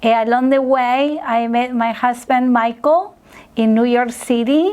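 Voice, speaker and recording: A woman speaks in a high voice with a Spanish accent. Her intonation stays fairly even. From Argentina, Buenos Aires. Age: 40s. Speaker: restaurant worker and farmer. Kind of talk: interview. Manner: halting, many fillers.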